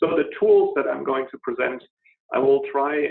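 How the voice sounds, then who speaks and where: A man with a German accent. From Germany, Berlin. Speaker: scientist presenter. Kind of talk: webinar presentation. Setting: online webinar. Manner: halting, many fillers.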